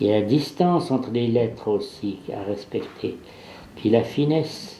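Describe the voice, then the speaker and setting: A man's very slow delivery at a medium pitch, with vocal fry. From Swiss Jura. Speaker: painter and engraver. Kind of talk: documentary interview talk. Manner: passionate, hesitant.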